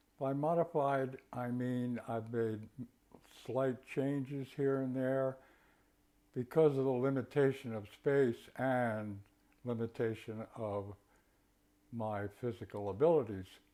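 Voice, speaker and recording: Slow to a very great degree, a man with a medium pitch and a dark, mellow tone speaks with fairly even intonation and long, frequent pauses. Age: 80s+. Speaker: tai chi and qigong instructor. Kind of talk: tutorial.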